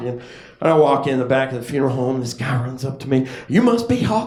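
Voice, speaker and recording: At a fairly quick pace, a man speaks in a medium-pitched voice over noticeable background noise. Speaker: stand-up comedian. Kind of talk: stand-up comedy set to a live audience. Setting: live comedy club. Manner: casual, conversational storytelling.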